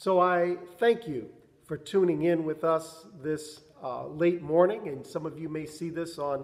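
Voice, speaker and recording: Taking a fairly slow pace, a man talks with ordinary pitch variation. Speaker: pastor. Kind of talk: devotional address to a virtual congregation. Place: church. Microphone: camera far.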